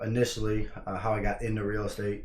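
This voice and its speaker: A man's fairly low voice at a fairly quick pace, with audible room echo. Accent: American. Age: 20s. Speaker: real estate investor. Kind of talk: casual vlog talk. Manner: halting, many fillers.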